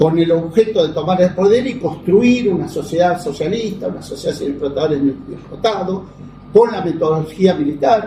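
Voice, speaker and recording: Against noticeable background noise, a high-pitched man speaks at a moderate pace with ordinary pitch variation. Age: 70s. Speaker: lawyer and political activist. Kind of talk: interview. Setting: interview in the evening.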